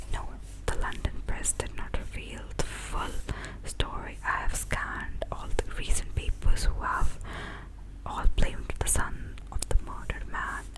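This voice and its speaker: Noticeable background noise accompanies a woman whispering at a fairly slow pace. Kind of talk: whispered ASMR book reading. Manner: whispered, soft-spoken.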